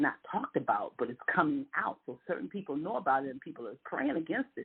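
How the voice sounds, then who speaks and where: Her animated, fairly low-pitched voice swings very widely in pitch. This woman talks at a very fast pace, with big swings in loudness. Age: 60s. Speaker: panelist in round table discussion. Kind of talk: casual panel discussion, preachy. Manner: animated, emphatic.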